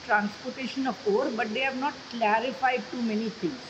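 A woman's voice over light background noise. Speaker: advocate. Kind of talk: news report sound bite, spoken English explaining a court case. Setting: interview clip in a news bulletin. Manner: measured, hedging, explanatory. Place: home room. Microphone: phone near.

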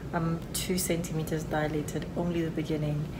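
Loud background noise behind a woman talking at a moderate speed. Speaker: vlogger in early labour. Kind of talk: casual vlog chat. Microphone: phone near.

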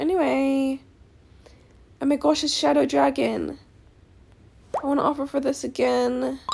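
An animated woman at a moderate pace, with long, frequent pauses and noticeable background noise. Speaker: Roblox gaming YouTuber. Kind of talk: casual gameplay commentary. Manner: chatty, animated.

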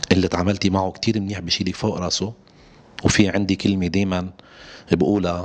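The man's pitch is very deep and low. His intonation stays monotone and flat. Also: fairly quick pace. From Lebanon. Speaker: singer; interviewee. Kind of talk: interview. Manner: halting. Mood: relaxed, smiling at times. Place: home room. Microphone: handheld.

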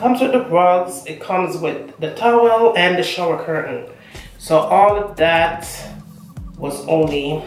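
Amid audible room echo and faint background music, a woman with a fairly low pitch speaks at a fairly slow pace, her loudness swinging widely. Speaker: home decor vlogger. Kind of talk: casual vlog chat. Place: bathroom. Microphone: camera far.

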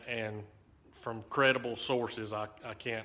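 In a bright, sharp tone, a man speaks with monotone, flat intonation. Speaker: railfan vlogger. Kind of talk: casual vlog chat. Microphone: phone near.

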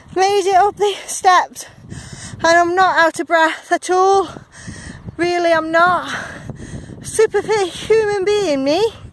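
A woman at an extremely high pitch, very slow, with long, frequent pauses and very even loudness, over noticeable background noise. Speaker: vlogger. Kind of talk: travel vlog narration. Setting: outdoors by the sea, wind noise. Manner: animated.

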